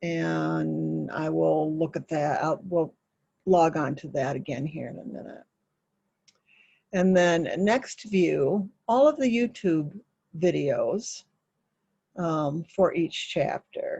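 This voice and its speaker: Very slow delivery with long, frequent pauses and big swings in loudness. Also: woman. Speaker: massage school instructor. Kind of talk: tutorial. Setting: small home office, alone. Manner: halting, many fillers.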